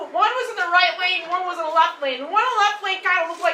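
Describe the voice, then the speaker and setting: A woman's raised, projected voice, extremely high in pitch, in a Chicago accent with ordinary pitch variation, amid audible room echo and noticeable background noise. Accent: Midwestern (Chicago). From US Midwest, Chicago. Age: 40s. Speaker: stand-up comedian. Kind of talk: stand-up. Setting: stage with audience. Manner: animated.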